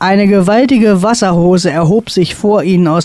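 Text read aloud plainly

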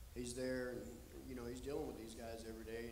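Light background noise behind a man's speech. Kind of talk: interview answer, storytelling. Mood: reflective, earnest. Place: stage. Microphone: handheld.

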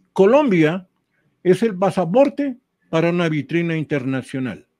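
The voice has a dark, mellow tone and very wide swings in pitch. It moves at a fairly slow pace against a quiet background. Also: man. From Ecuador, Tulcán (northern highlands); Ecuador. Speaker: retired sports journalist, cycling specialist; retired sports journalist. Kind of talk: casual interview chat. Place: home room. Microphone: headset.

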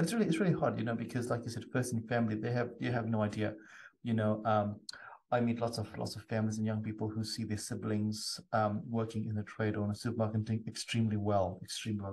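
At a very fast pace, a somewhat breathy voice keeps a fairly even intonation. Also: man. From South Africa. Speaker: podcast host. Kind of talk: casual interview chat. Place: home room.

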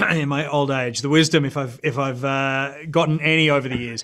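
A man with an Australian accent at a moderate pace, against a quiet background. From Brisbane, Australia. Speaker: actor. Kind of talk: interview answer. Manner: casual, relaxed. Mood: relaxed, reflective. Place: studio. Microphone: video call.

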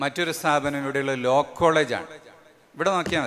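An ordinary speaking voice comes from a man with a fairly high pitch and fairly even intonation. Light background noise is present. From Kerala, India. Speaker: Islamic scholar and event organizer; speaker. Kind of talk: speech to a religious gathering. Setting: large marquee gathering. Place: stage. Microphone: podium.

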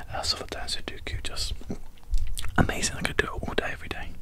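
A man speaks in a whisper. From British. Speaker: ASMR creator. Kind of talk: ASMR puzzle-solving video. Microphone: studio mic.

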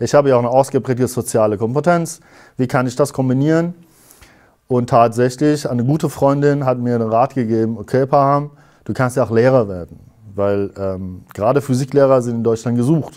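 Over a quiet background, a man with a dark, mellow tone speaks at a fairly quick pace with ordinary pitch variation. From Iran. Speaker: physics teacher; interviewee, physics teacher. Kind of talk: interview. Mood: calm, reflective. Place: studio.

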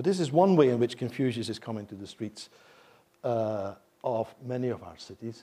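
A man speaks with a Flemish accent in a dark, mellow tone at a moderate pace. His pitch varies in an ordinary way, while his loudness swings widely. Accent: Belgian (Flemish) English. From Belgium. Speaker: professor of Chinese. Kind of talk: lecture. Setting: stage with audience. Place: hall.

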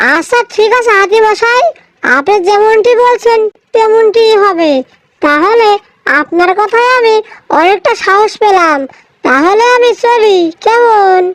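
A cartoonish character voice delivered at a fairly slow pace with very even loudness. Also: woman, extremely high pitch for a woman.

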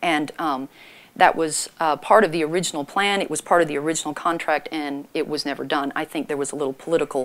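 A woman talks fast with few pauses, her voice croaky and low in pitch. Her intonation stays fairly even.

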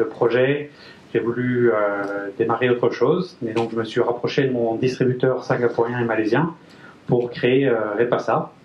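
Here is a man with an ordinary speaking voice at medium pitch. He talks at a fairly slow pace with fairly even intonation. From France, Brittany (Guingamp). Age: 30s. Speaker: engineer and company manager. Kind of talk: business presentation. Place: meeting room.

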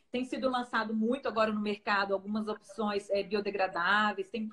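Ordinary pitch variation in a woman's fairly high-pitched voice. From Brazil. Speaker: nutritionist and researcher. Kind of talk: live-stream interview. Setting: Instagram live video. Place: home room.

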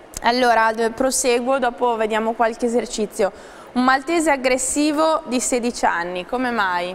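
A woman speaks at a fairly slow pace in a high pitch. Noticeable background noise sits behind her. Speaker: TV host. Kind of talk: live TV presenting. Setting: TV studio. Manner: formal.

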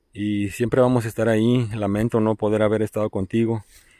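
A man's voice, dry with no echo, over a quiet background. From Veracruz, Mexico. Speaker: vlogger. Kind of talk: outdoor vlog narration. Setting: outdoors. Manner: halting, repetitive. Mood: warm, appreciative. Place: open country. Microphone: phone near.

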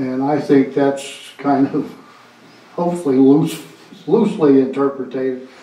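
A man talks at a fairly slow pace and a fairly high pitch, with long, frequent pauses. His pitch varies in an ordinary way, and room echo is audible. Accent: Maine. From Maine. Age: 70s. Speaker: veterans' organization representative. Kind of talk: town council meeting. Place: meeting room.

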